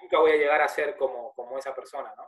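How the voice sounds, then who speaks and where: A man is heard with a dry, close sound and no echo. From Argentina. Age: 30s. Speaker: podcast host. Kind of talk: casual interview conversation.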